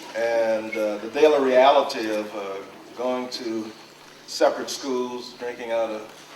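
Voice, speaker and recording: A man with an American accent speaks at a fairly slow pace and medium pitch, with ordinary pitch variation. Audible room echo and noticeable background noise are present. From US South, New Orleans, Louisiana. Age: 60s. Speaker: civil rights era activist. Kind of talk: documentary interview. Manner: frequent uh pauses.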